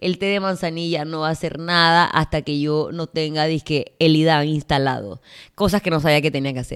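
Her pitch is very deep and low for a woman, and her tone is animated. She speaks at a moderate pace on a very clean recording with a silent background. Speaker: fitness coach and gym owner. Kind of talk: casual solo podcast monologue.

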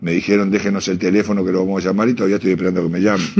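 A man speaks with a Uruguayan accent in a very deep, low voice. His intonation is flat and monotone. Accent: Uruguayan Rioplatense Spanish. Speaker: murga lyricist and writer. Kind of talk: interview.

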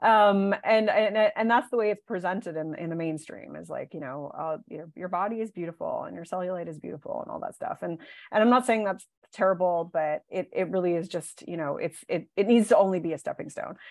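The woman has an unremarkable speaking voice, medium pitch, ordinary pitch variation, and big swings in loudness. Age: 40s. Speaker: body image coach. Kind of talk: casual interview.

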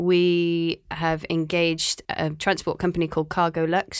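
A woman speaks in a Cardiff accent at a moderate pace, her fairly low voice flat and monotone. The recording is very clean with a silent background. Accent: Welsh (Cardiff). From Wales, Cardiff. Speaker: marine biologist, aquarium conservation manager. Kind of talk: interview.

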